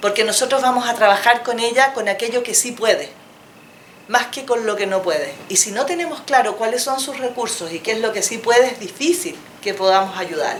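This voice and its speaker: A woman speaks at a fairly quick pace in a fairly high pitch, her intonation lively, with noticeable background noise and audible room echo. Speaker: psychologist. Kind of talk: lecture.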